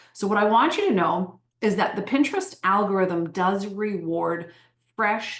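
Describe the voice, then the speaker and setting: A woman speaks at a fairly slow pace in an animated tone, her medium pitch showing ordinary variation. Audible room echo surrounds her voice. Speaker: Pinterest marketing trainer. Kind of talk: online training webinar.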